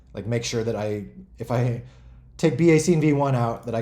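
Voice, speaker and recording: With a dark, mellow tone and a somewhat breathy quality, a man talks at a medium pitch with ordinary pitch variation. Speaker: game developer hosting a community stream. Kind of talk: casual livestream talk. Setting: online voice chat on a community server. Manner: fast.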